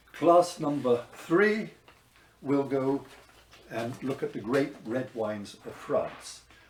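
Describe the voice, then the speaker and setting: Very slow and broken by long, frequent pauses, a man's fairly high-pitched speech plays over noticeable background noise. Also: lively intonation, big swings in loudness. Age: 70s. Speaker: wine teacher. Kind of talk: promotional talk. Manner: hesitant, with fillers.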